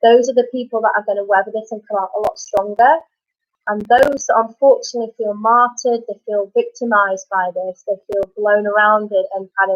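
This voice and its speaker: In a normal speaking voice, a woman talks at a fairly quick pace with fairly high pitch and fairly even intonation. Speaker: life coach / motivational speaker. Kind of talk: live-stream Q&A advice. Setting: live video stream under studio lights.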